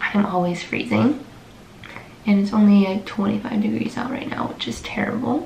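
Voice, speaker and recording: A woman talks at a moderate pace amid light background noise and audible room echo. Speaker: nursing student vlogger. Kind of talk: casual vlog chat. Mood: relaxed, chatty, a bit sleepy. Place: home room.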